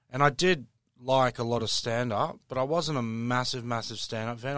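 Over a quiet background, a man with an Australian accent speaks at a moderate pace and medium pitch with ordinary pitch variation. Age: 30s. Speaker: stand-up comedian. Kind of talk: casual interview.

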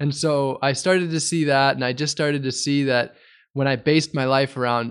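A man with an American accent talks at a moderate pace in a plain, everyday voice. His intonation is fairly even, and the background is quiet. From US Midwest, Wisconsin. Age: 30s. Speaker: environmental activist. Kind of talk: interview.

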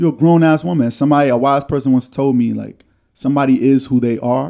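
This man talks at a fairly quick pace in a dark, mellow tone. His pitch sits in the medium range, and his intonation stays fairly even. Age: 30s. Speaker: podcast host. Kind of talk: casual chat. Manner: confident.

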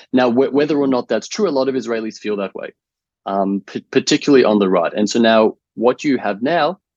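The recording of a man with an Australian accent sounds dry and close, with no echo. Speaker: writer. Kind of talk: interview.

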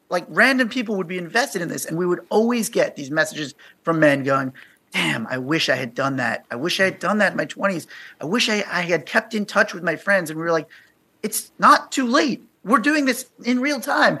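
At a fairly quick pace, a man with a high pitch projects a raised voice with a bright, sharp tone and very wide pitch swings, on a very clean recording with a silent background. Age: 40s. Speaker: podcaster on male friendship. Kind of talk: radio interview.

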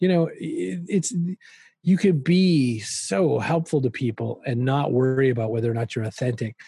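In a quiet background, a man speaks at a moderate pace with a medium pitch, ordinary pitch variation, a dark, mellow tone and a somewhat breathy quality. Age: 50s. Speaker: author and marketing speaker. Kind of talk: interview conversation.

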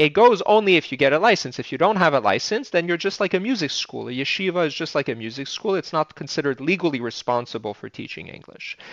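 A man's very fast delivery with vocal fry, fairly high pitch, very wide pitch swings and hardly any pauses. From Quebec. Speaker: teacher. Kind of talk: panel discussion.

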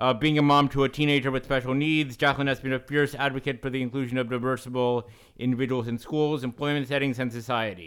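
A man talks at a very fast pace. He leaves hardly any pauses. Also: medium pitch for a man. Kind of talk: podcast interview. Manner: halting, repeats words.

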